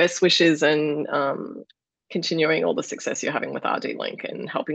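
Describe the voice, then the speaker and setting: Speaking at a fairly quick pace, a woman talks with an Australian accent. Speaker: podcast host and founder of a dietitian network. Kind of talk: interview.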